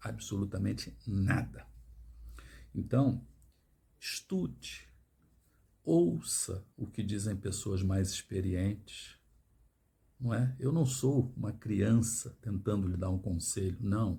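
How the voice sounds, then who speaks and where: Very slowly, a man speaks in a fairly low, dark, mellow voice with vocal fry. His pitch varies in an ordinary way, and he takes long, frequent pauses. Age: 60s. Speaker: financial education youtuber. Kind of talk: monologue to camera. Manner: emphatic.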